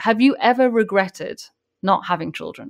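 On a very clean recording with a silent background, a woman speaks in a normal speaking voice at a moderate pace with ordinary pitch variation. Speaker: podcast host and photographer. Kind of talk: podcast interview question.

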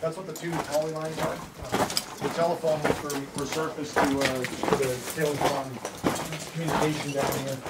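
Loud background noise fills the recording. The speech moves at a fairly quick pace. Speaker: mine guide. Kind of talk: guided tour explanation. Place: tunnel cave. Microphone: camera far.

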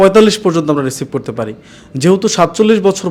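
A man's voice, high in pitch. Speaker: overseas job recruitment agent and video host. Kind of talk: promotional video presentation. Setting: office.

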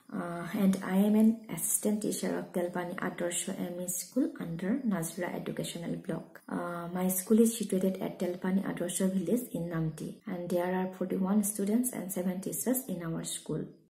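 With audible room echo, a woman speaks at a moderate pace with hardly any pauses and ordinary pitch variation. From Assam, India (Sivasagar); Assam, India. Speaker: school teacher. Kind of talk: prepared testimonial talk. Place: home room. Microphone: phone near.

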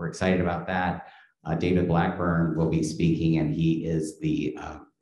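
Against a quiet background with audible room echo, a man speaks at a moderate pace in a dark, mellow tone. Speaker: event host. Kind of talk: event introduction and announcements. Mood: upbeat, welcoming. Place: classroom. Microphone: podium.

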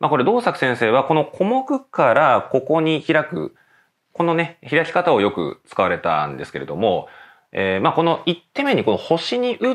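Speech unfolds at a moderate pace. The pitch moves in very wide swings. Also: man. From Japan, Nagano. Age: 30s. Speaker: professional go player and teacher. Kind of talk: tutorial. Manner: filler-heavy conversational.

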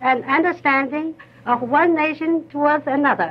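A woman with a high pitch talks at a fairly slow pace and ordinary pitch variation. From China. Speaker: former court interpreter and lady-in-waiting. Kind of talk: formal public speech for newsreel. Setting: 1930 newsreel sound film recording. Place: studio. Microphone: old recording.

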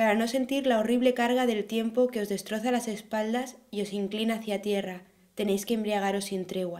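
Fairly high in pitch, a woman's voice has a dark, mellow tone. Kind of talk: poem reading aloud. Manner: fluent, steady, measured.

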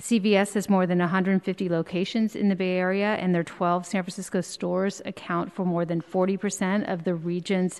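A woman speaks at a moderate pace. Her intonation stays monotone and flat. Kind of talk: prepared hearing statement. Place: hall. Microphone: podium.

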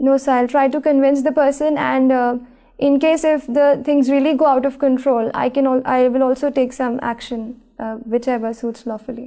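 A woman of high pitch with a dark, mellow tone and monotone, flat intonation, at a moderate pace against a quiet background. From India, Bhopal (Madhya Pradesh); Madhya Pradesh, India. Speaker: civil services job candidate; candidate. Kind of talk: mock job interview. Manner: formal. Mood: calm, composed, formal. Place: studio. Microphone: lapel.

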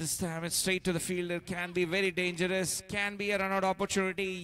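Music plays in the background as a man speaks with a high pitch. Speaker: cricket commentator. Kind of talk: live sports commentary on a T10 cricket match, calling each ball as it is bowled. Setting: live match broadcast, commentating from the ground.

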